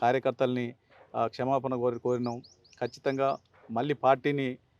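A normal speaking voice from a man at medium pitch, with a quiet background and a dry, close sound with no echo. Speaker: politician, former state legislator. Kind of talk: news interview.

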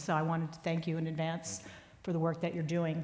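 A woman with a fairly low pitch speaks at a fairly quick pace. Room echo is audible. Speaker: sports columnist. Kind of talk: onstage interview. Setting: stage with audience. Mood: warm, earnest. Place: stage.

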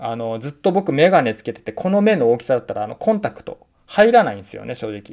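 Speaking very fast with hardly any pauses, a man makes very wide pitch swings and big swings in loudness against a quiet background. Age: 40s. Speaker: freelance writer and researcher; vlogger. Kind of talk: casual vlog monologue. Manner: frequent filler hesitations. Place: home room. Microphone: phone near.

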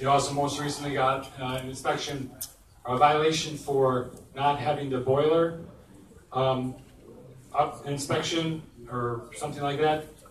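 A man with a fairly high pitch speaks at a fairly slow pace, leaving long, frequent pauses, in a monotone, flat intonation. Audible room echo and light background noise are present. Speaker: community board chair. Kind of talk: public meeting. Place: hall.

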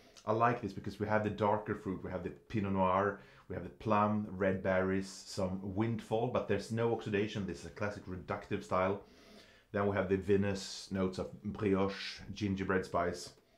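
Over a quiet background with audible room echo, a man talks at a moderate pace in a fairly low pitch with monotone, flat intonation. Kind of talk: tasting commentary. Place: studio.

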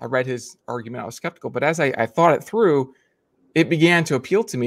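A man speaks against a quiet background. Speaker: guest. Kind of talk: debate opening statement. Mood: calm, curious. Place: home room. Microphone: earbuds.

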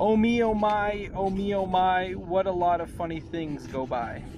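Over noticeable background noise, a man speaks at a high pitch. The sound is dry with no echo. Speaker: elementary school teacher. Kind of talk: children's picture book read aloud with a sing-song, rhyming bedtime-story lilt. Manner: playful, warm and gently rhythmic, bouncing through rhymes with asides to kids; casual and chatty between reading, youthful teacher friendliness. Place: boat. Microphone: phone near.

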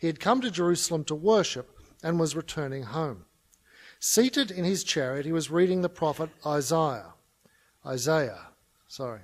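A fairly high-pitched man in an Australian accent, at a moderate pace with lively intonation and long, frequent pauses. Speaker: conference speaker on mission. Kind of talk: conference talk. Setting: stage with audience. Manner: humorous. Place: hall. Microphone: podium.

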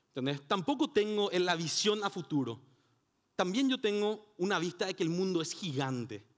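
Against a quiet background, a man speaks at a moderate pace in a high voice that swings very widely in pitch. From Paraguay. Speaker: conference speaker. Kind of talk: conference talk. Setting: stage with audience. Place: hall. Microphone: headset.

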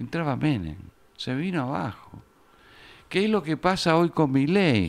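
Pitch swings very widely in this man's voice. His pace is fairly slow. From Argentina. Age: 70s. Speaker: journalist and author; journalist. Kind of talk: interview. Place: studio. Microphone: studio mic.

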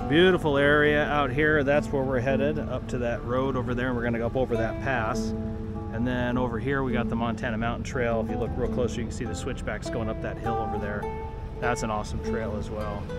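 Over loud music in the background, a man talks at a fairly quick pace with ordinary pitch variation. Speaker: off-road vlogger driving. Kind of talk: casual vlog chat. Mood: relaxed, content. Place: car.

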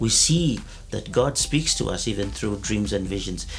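Behind the man's voice, music plays faintly. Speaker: pastor. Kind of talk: sermon-style teaching to camera. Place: studio.

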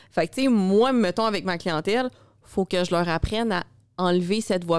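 Recorded very cleanly against a silent background, with a dry, close sound and no echo, a woman speaks at a moderate pace in a fairly low voice with ordinary pitch variation. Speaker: podcast host, fitness coach. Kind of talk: casual chat. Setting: studio.

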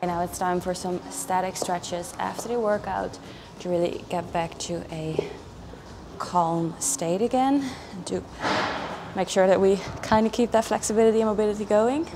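A woman talks at a moderate pace with long, frequent pauses and ordinary pitch variation, while noticeable background noise runs behind her. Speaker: fitness vlogger. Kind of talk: casual vlog chat. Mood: calm, reflective. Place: gym.

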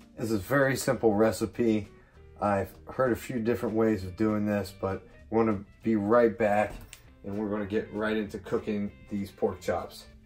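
With faint music in the background, a man speaks at a moderate pace and fairly low pitch in a flat, monotone intonation. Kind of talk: casual cooking tutorial. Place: kitchen. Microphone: phone near.

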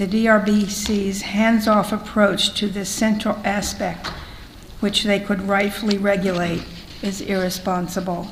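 Amid noticeable background noise and audible room echo, a woman talks at a medium pitch in a monotone, flat intonation. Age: 80s+. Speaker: public hearing speaker, clean water activist. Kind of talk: prepared statement at public hearing. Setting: public hearing hall.

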